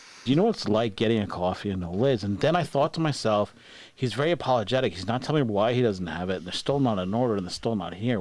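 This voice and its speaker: At a very fast pace, a man with an American accent talks in a fairly low pitch with ordinary pitch variation. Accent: New York accent, comes out sometimes. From New York. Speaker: podcast host. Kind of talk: casual chat.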